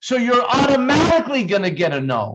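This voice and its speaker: A man speaks loudly. His pace is moderate. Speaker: network marketing team leader. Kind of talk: sales training talk. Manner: animated. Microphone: distorted sound.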